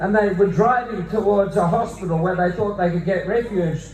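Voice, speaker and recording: A man speaks with an Australian accent. Room echo is audible and background noise is noticeable. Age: 60s. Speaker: Anglican priest and activist. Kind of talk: rally speech.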